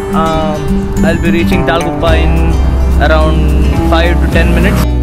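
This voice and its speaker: Loud music plays in the background. Over it, a man speaks in a dry sound with no echo. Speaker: motovlogger. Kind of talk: casual vlog chat. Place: street. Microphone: phone near.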